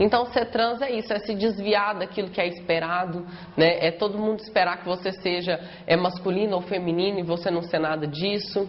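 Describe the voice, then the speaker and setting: At a moderate pace and with fairly even intonation, the speaker talks over noticeable background noise. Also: woman, medium pitch for a woman. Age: 20s. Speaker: law student. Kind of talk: documentary interview.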